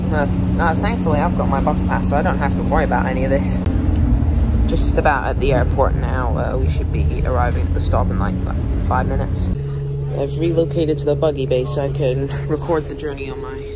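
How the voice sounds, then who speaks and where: A man speaks fairly quickly while loud background noise fills the clip. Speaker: bus enthusiast vlogger. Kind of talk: casual vlog commentary. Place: bus. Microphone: phone near.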